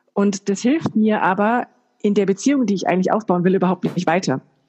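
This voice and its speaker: A woman speaks at a fairly quick pace in a somewhat breathy voice with a dark, mellow tone and ordinary pitch variation, the sound dry and close with no echo. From Germany, Bayreuth (Upper Franconia). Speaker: business coach and trainer. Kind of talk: podcast interview. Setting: remote call.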